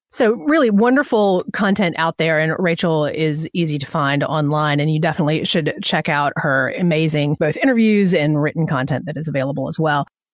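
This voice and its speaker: A fairly quick American accent with ordinary pitch variation and hardly any pauses. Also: woman, very deep, low pitch for a woman. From Atlanta, US South. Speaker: podcast host. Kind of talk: interview. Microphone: audio echo in recording.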